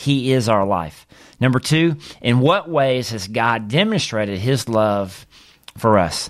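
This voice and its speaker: On a very clean recording with a silent background, a man in a Southern US accent speaks at a very slow pace with medium pitch and lively intonation. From US South, Mississippi. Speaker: pastor. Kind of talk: teaching podcast monologue.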